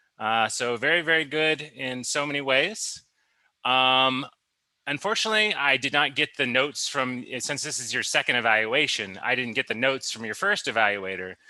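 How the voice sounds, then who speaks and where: A man speaks at medium pitch and a moderate pace. His intonation is lively against a quiet background. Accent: American. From US Midwest, southern Ohio. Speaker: speech evaluator at a public speaking club. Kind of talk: speech evaluation. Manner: hesitant, many fillers.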